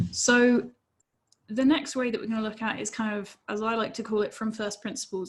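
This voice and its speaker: A woman speaks at a moderate pace in a fairly high, somewhat breathy voice. Her pitch sits fairly high. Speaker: safety engineer presenter. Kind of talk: webinar presentation.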